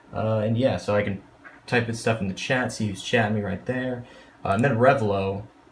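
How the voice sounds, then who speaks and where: There is noticeable background noise. A man speaks at medium pitch with fairly even intonation. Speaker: gaming streamer. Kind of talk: casual vlog tour. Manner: fast.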